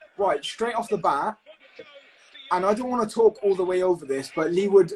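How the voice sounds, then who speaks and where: High-pitched man's voice over noticeable background noise. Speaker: podcast host. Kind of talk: live fight commentary and banter. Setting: live stream watching fight on TV. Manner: fast; animated.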